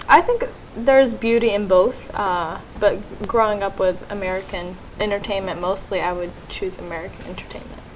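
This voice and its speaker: A woman at medium pitch with ordinary pitch variation and big swings in loudness, plus noticeable background noise and audible room echo. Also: moderate pace. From Syria, moved to US at about eight. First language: Arabic. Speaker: college student. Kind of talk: interview.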